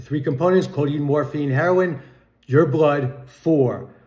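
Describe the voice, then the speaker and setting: A man speaks in a fairly high pitch with a somewhat breathy voice. Audible room echo surrounds the recording. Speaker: music commentary vlogger. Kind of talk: casual monologue.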